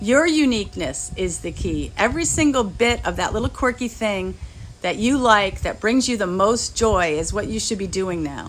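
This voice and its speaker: Delivered at a moderate pace, an ordinary speaking voice carries lively intonation. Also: woman, medium pitch for a woman. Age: 60s. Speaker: spiritual healer. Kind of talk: spiritual talk.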